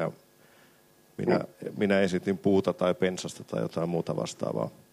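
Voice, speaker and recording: Very deep, low male speech marked by vocal fry, its pitch varying in an ordinary way. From Finland, Sysmä. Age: 40s. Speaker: film director. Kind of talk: panel discussion at a live event. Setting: stage with audience.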